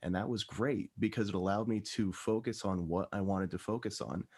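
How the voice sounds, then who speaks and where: A man with an American accent and an ordinary speaking voice talks at a fairly low pitch with ordinary pitch variation, in a very clean recording with a silent background. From New Jersey. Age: 20s. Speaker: systems administrator. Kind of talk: panel discussion.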